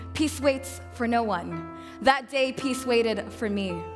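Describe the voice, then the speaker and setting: With music in the background, a woman talks at a high pitch. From Sudanese-American. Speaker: poet. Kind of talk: slam poetry performance.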